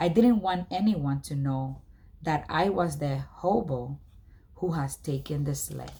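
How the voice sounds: A woman's slow, slightly mellow voice with lively intonation.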